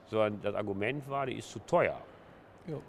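The speaker has an unremarkable speaking voice. The pace is moderate and the intonation lively. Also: man. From Ruhr area, Essen. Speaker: trade union leader. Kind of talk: interview.

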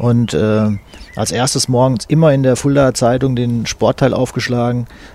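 With ordinary pitch variation and a medium pitch, a man talks at a moderate pace while noticeable background noise runs behind him. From eastern Hesse, Fulda. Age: 60s. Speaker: sports journalist. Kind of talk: interview. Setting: at his home.

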